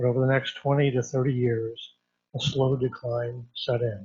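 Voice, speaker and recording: Speaking at a fairly slow pace, a man uses a somewhat breathy voice at a medium pitch. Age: 60s. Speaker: local businessman giving public comment. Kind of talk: public comment at a council meeting. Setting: city council meeting.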